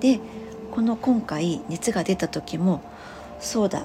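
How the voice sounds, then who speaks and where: Soft-spoken, a woman talks with ordinary pitch variation over noticeable background noise. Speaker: spiritual healer and nurse. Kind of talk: solo podcast monologue. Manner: rambling with many fillers.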